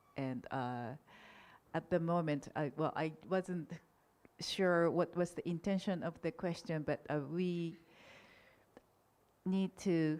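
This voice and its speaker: A woman with a Japanese accent speaks at a fairly slow pace, her pitch fairly low with ordinary variation. The recording is very clean, with a silent background. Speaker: political science academic, panelist. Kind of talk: conference panel Q&A. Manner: halting, frequent self-corrections.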